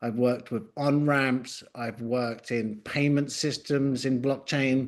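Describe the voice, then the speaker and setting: A man speaks with an English accent at a fairly slow pace. His medium-pitched voice keeps a fairly even intonation. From England, London. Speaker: tech company executive. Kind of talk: business presentation. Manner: slow and clear.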